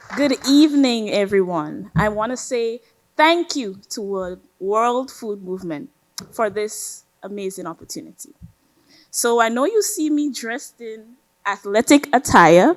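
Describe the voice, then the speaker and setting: Speaking with a Grenadian accent, a woman uses lively intonation and a fairly high pitch at a fairly slow pace. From Grenada. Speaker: college student athlete. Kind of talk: speech.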